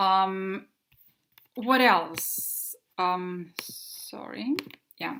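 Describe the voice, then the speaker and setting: With ordinary pitch variation, the voice carries a bright, sharp tone. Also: woman, medium pitch for a woman. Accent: Russian. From Russia. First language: Russian. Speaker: English teacher. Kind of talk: presentation. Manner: halting.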